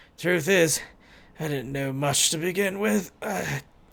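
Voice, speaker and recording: A man's raspy, put-on character voice, fairly high-pitched, with ordinary pitch variation. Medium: game stream. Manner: casual, blokey, calls people mate.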